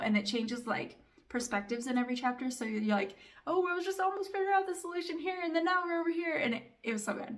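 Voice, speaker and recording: A woman's animated, very fast voice with lively intonation and audible room echo. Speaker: family vlogger and book reviewer. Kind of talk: casual book review chat.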